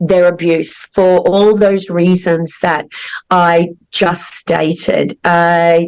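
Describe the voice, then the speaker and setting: A woman's medium-pitched voice with an Australian accent, at a very slow pace. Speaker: podcast host, counselor. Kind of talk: interview.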